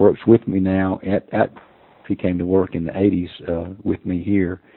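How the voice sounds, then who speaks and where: At a moderate pace, a man talks in a fairly low voice, an unremarkable speaking voice. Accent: American. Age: 60s. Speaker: hunting call maker. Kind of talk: casual interview chat.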